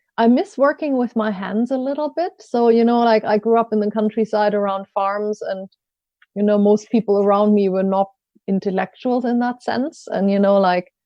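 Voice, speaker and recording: At a moderate pace, a woman with a German accent speaks at a fairly high pitch with ordinary pitch variation. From Germany, rural village. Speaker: coach and learning consultant. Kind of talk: podcast interview.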